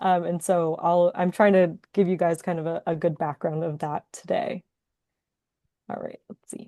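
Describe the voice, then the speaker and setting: In a dry, close sound with no echo, a woman speaks at a fairly low pitch with a dark, mellow tone and fairly even intonation. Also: moderate pace. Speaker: entomology graduate researcher. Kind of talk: webinar lecture. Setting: online webinar. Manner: self-described mumbling at times.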